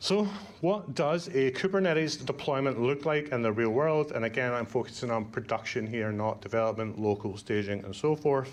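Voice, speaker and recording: This man talks with a Scottish accent at a moderate pace. His intonation is lively. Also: medium pitch for a man. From Scotland. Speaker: conference speaker, Kubernetes educator. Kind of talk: conference talk. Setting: stage with audience. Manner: casual, lots of fillers.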